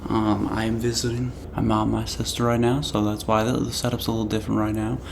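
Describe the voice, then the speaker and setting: Soft-spoken and monotone, a man talks with flat intonation amid noticeable background noise and audible room echo. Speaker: vlogger. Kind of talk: casual monthly review vlog. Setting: at family home, different setup. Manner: quiet, soft-spoken. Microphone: recorded quietly.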